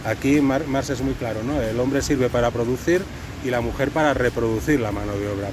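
A man's medium-pitched voice at a fairly quick pace, fairly even in intonation, over noticeable background noise. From Catalonia, Spain. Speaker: anthropologist. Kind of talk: casual discussion.

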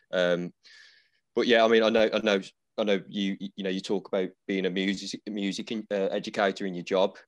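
Against a quiet background, a man with an English accent speaks at a fairly quick pace in a fairly low pitch and monotone, flat intonation, the sound dry and close with no echo. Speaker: podcast host and barber. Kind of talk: casual interview chat. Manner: casual, fillers.

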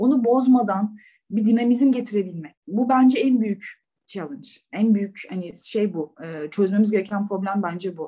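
The moderate pace carries a dark, mellow tone that is somewhat breathy, with ordinary pitch variation. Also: woman, medium pitch for a woman. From İzmir, Turkey. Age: 30s. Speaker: banker. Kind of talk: casual interview.

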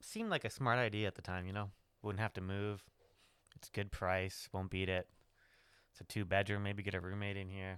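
On a very clean recording with a silent background, a man speaks in a flat monotone at a moderate pace, with long, frequent pauses. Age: 30s. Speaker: solo podcaster. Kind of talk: personal monologue. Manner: casual, halting with fillers.

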